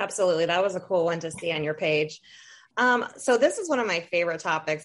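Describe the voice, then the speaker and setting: A woman with an American accent, fairly low pitch, ordinary pitch variation and an unremarkable speaking voice, over a quiet background. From Toledo, Ohio, US Midwest. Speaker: podcast host. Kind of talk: interview.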